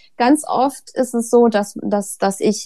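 On a very clean recording with a silent background, a woman speaks at a fairly high pitch in a dark, mellow tone. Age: 30s. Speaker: author and mother of two. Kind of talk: casual interview.

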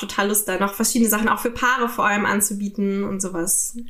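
Fast and fairly high-pitched, a woman speaks with fairly even intonation. Her very fast speech comes with audible room echo and noticeable background noise. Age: 20s. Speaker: sex worker and retreat leader. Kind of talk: interview.

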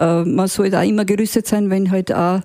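Recorded dry and close with no echo, a woman speaks in a dark, mellow tone with fairly even intonation. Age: 60s. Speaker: retired hiking enthusiast. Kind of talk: casual interview.

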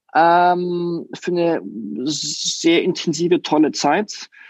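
A man speaks at a very slow pace with a high pitch. The sound is dry and close with no echo over a quiet background. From France and Leonberg near Stuttgart. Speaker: design studio founder and CEO. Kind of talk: interview. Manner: hesitant, many fillers.

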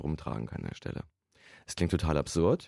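A man's very deep, low voice with a dark, mellow tone at a very fast pace, on a very clean recording with a silent background. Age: 50s. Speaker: computer science professor. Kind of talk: interview. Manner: conversational, frequent fillers.

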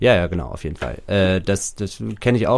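This is a man with an ordinary speaking voice. He talks at a moderate pace in a fairly low pitch. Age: 30s. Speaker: recovering gambling addict. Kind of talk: casual interview.

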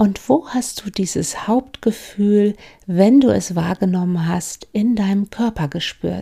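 A woman speaks at a very slow pace in a medium pitch, with a gentle, calm tone that is dark and mellow. Her voice is somewhat breathy, with ordinary pitch variation. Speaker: mindfulness coach and podcast host. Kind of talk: guided meditation. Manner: slow, calm, soothing; gentle, with long pauses.

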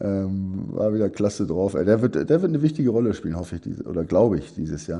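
At a fairly quick pace, a man talks in a fairly low pitch with a dark, mellow tone. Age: 60s. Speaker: former footballer and football pundit. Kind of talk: casual chat. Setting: at home, remote. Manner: halting.

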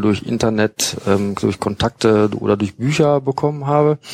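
Medium pitch and a moderate pace from a man, a plain, everyday voice. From Münster, Westphalia. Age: 40s. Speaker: football fanzine writer. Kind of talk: casual chat. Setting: studio.

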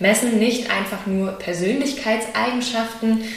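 A woman talks fairly slowly, her words echoing in the room while noticeable noise fills the background. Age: 20s. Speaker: personnel diagnostics consultant. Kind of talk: interview. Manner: hesitant, many filler sounds.

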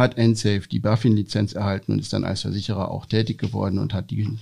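A dark, mellow tone with vocal fry runs at a very fast pace with hardly any pauses and fairly even intonation. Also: man. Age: 40s. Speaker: insurance executive. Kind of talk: interview. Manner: frequent filler sounds.

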